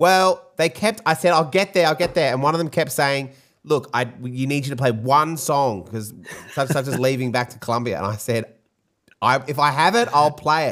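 With a fairly high pitch for a man, he speaks at a moderate pace and with lively intonation. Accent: Australian. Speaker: podcast host and DJ. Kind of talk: casual chat. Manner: casual, swearing.

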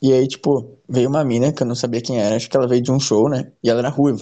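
Here a man speaks at a very fast pace and medium pitch. The tone is dark and mellow. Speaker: podcast co-host. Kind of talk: casual chat. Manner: animated.

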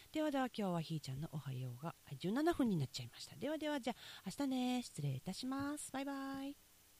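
With a dark, mellow tone, the voice races along at a very fast pace through very wide pitch swings. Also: woman, fairly high pitch for a woman. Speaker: podcast host, rice farmer. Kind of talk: casual morning monologue. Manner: chatty, with laughter.

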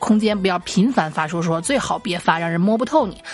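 Over noticeable background noise, a woman talks at a very fast pace with an animated tone and lively intonation. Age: 30s. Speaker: podcast host. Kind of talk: casual monologue.

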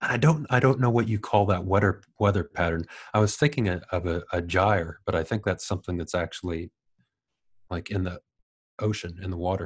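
Somewhat breathy speech comes at a fairly quick pace with ordinary pitch variation. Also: man, very deep, low pitch for a man. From Ohio, US Midwest. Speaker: YouTuber on batteries and EVs. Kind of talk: casual interview chat. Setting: remote recording from New Zealand.

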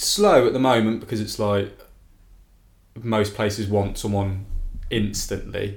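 A man with an English accent, somewhat breathy and fairly low-pitched, in a flat monotone at a fairly slow pace, with long, frequent pauses and audible room echo. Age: 20s. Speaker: music festival fan. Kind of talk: casual chat. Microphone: new podcast microphone.

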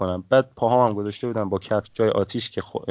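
A man speaks at medium pitch. His intonation is fairly even. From Iran, Mashhad. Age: 20s. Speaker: podcast guest telling life story. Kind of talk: casual interview conversation.

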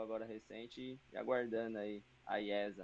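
In an unremarkable speaking voice, a man holds a medium pitch and a moderate pace. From São Paulo, Brazil. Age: 20s. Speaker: esports team manager and player. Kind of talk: casual chat.

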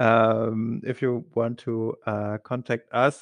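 A man speaks at a medium pitch in a German accent. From Germany. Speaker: recruiter, podcast co-host. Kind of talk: casual chat. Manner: hesitant, many fillers.

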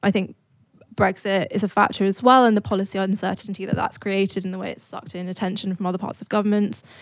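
Speaking very fast with a British accent, a woman swings widely in loudness on a very clean recording with a silent background. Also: medium pitch for a woman, fairly even intonation. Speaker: think tank economist. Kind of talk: live panel discussion. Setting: stage with audience.

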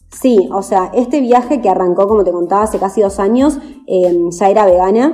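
With music in the background, a woman talks at a moderate pace and medium pitch, her intonation lively and her loudness very even. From Argentina, Chascomús, Buenos Aires province. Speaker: vegan traveler and activist. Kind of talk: casual interview.

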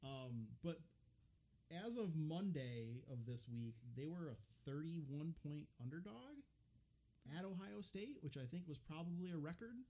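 Speaking at a fairly slow pace, a man with an American accent has a fairly high pitch, a somewhat breathy quality and a dark, mellow tone. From upper Midwest US. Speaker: podcast host at a railroad depot museum. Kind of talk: casual chat. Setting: unheated recording room at the depot.

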